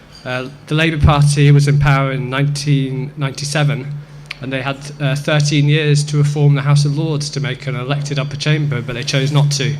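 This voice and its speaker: Monotone, flat delivery from a man with fairly high pitch and a slight English accent, at a fairly quick pace, with noticeable background noise and audible room echo. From southwest Scotland, Dumfries and Galloway (born in England). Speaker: political activist at a debate. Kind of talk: debate speech. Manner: halting, many fillers.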